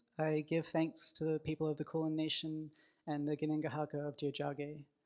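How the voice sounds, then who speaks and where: Speech at a moderate pace comes through on a very clean recording with a silent background. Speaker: graphic novelist, award winner. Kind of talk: acceptance speech. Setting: stage with audience. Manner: halting.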